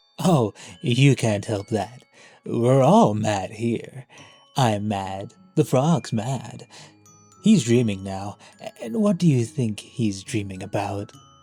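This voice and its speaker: A man puts on a character voice at a fairly slow pace and medium pitch, leaving long, frequent pauses over faint background music. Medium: audio drama. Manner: playful, teasing.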